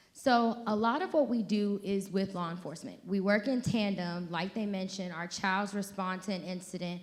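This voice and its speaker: A woman's medium-pitched voice at a moderate pace, hardly any pauses, and audible room echo. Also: ordinary pitch variation. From Georgia. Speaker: social worker. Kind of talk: conference presentation.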